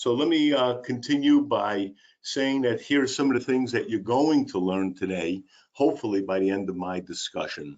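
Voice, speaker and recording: Lively intonation marks this man's medium-pitched voice. He keeps a moderate pace. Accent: strong Brooklyn. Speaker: special education and employment specialist. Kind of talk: webinar presentation. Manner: enthusiastic.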